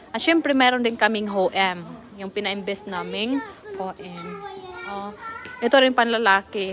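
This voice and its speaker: The speaker is soft-spoken but shows big swings in loudness, with ordinary pitch variation at a moderate pace. Long pauses come often, and background noise is noticeable. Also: woman, medium pitch for a woman. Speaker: vlogger. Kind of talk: casual vlog walkthrough. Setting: outdoors.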